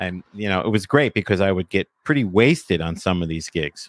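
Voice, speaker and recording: With a New Jersey accent, a man speaks in a fairly low voice, recorded very cleanly with a silent background and a dry, close sound with no echo. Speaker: podcaster and former DJ. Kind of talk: casual chat.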